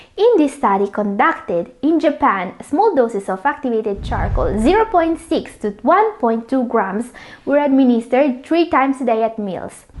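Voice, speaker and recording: A woman's high-pitched voice swings very widely in pitch while noticeable background noise carries on behind her. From Italy (born in the Philippines). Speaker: health educator on kidney disease. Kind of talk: educational video monologue.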